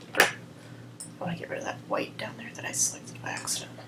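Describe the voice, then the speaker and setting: A woman talks over noticeable background noise. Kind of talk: software tutorial narration. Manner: quiet, subdued.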